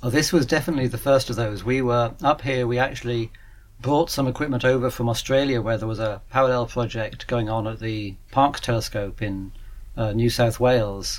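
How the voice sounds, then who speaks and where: This voice has a British accent and fairly even intonation. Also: man. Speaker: radio astronomer at an observatory. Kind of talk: interview.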